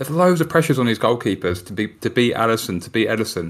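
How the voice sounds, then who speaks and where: A man's medium-pitched voice at a very fast pace, full of lively intonation. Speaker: podcast co-host. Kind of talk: casual football podcast chat.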